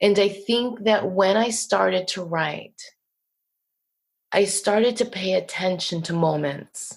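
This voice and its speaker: A woman talks at a very slow pace with long, frequent pauses, in a New Jersey accent. Her pitch sits in the medium range and varies in an ordinary way. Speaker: poet. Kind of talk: casual interview.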